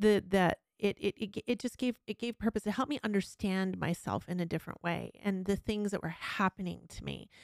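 A woman with a normal speaking voice talks with hardly any pauses, at medium pitch and with fairly even intonation. The sound is dry and close, with no echo. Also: fairly quick pace, very clean recording, silent background. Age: 50s. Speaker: podcast host. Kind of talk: casual chat.

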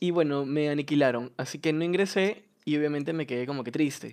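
There is a quiet background behind this man's voice. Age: 20s. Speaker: university student. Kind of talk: casual chat.

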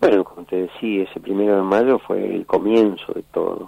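A man talks at a fairly slow pace. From Argentina, Buenos Aires area. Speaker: war veteran and former footballer. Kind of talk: interview testimony.

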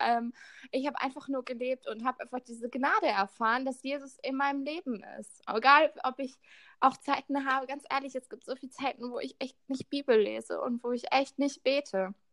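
A woman's high-pitched voice at a fairly quick pace, with ordinary pitch variation and a dry, close sound with no echo. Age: 20s. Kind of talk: casual chat.

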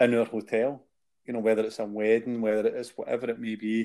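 With a Glasgow accent, a man speaks at a fairly quick pace in a medium pitch with a dark, mellow tone. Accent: Scottish (Glasgow area). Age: 50s. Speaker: podcast co-host, charity founder. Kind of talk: casual chat.

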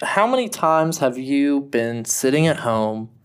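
With an American accent, a man speaks in a plain, everyday voice at medium pitch, fairly slowly, with ordinary pitch variation. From United States. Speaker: podcast co-host. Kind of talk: casual chat.

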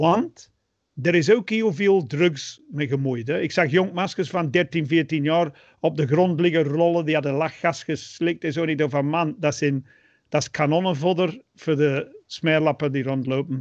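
At a fairly slow pace, a man talks in a fairly high pitch with ordinary pitch variation. He has an ordinary speaking voice, and the background is quiet. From England. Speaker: podcast co-host. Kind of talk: casual chat.

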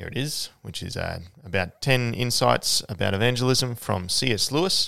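With a fairly bright tone and vocal fry, a man speaks at a moderate pace in a fairly low pitch with lively intonation.

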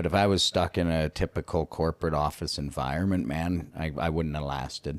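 A man with a very deep, low pitch and vocal fry speaks at a fairly quick pace with fairly even intonation and hardly any pauses. The very clean recording has a silent background and a dry, close sound with no echo. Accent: Canadian. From Canada. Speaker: YouTuber. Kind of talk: casual interview chat.

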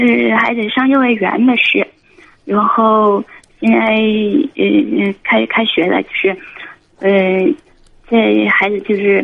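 A woman talks at a very slow pace with very even loudness and long, frequent pauses. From Guangxi, China. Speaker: caller, single mother running a lottery shop. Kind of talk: phone-in call. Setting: phone call.

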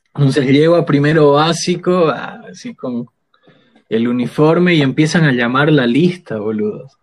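With an unremarkable speaking voice, a man talks at a fairly high pitch with lively intonation. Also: fairly slow pace. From Bolivia, Sucre. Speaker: poet and theatre actor. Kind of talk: casual chat.

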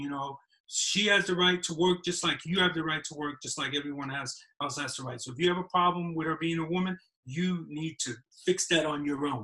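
A man's fairly high, bright, sharp voice in a New York accent, fairly quick, with fairly even intonation. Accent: New York (Bronx). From New York City. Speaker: filmmaker. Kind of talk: casual chat.

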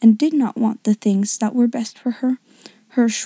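A natural voice reading aloud, intonation fairly level throughout.

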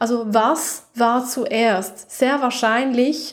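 A calm, soothing tone at a very slow pace, fairly even intonation, and noticeable background noise. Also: woman. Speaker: podcast host and holistic coach. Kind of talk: guided meditation. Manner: slow, soft, calm and soothing, with long pauses; gentle, intimate, directly addressing the listener as 'du'.

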